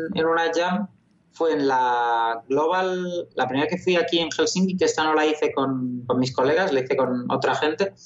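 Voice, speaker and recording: A man speaks with a plain, everyday voice at a fairly high pitch. The pace is moderate and the pitch varies in an ordinary way. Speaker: video game programmer. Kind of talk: interview.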